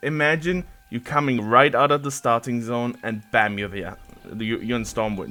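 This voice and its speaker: Lively intonation from a man at medium pitch with a German accent. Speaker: gaming content creator. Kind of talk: casual gameplay ramble. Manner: casual, hesitant with fillers and repeats.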